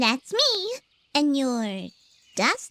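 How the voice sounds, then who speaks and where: In a put-on character voice, a female-sounding speaker talks at a high pitch for a woman. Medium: video game. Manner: babbling, nervous.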